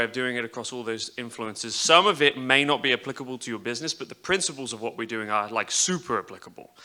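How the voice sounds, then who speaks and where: In an American accent, a man with a bright, sharp tone talks very fast at a medium pitch, with ordinary pitch variation and big swings in loudness. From England. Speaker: media executive producer. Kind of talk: conference talk. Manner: casual with frequent fillers.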